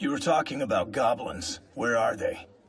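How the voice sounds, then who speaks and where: A man's raspy, cartoonish character voice, fairly high in pitch, at a moderate pace. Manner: terse, flat.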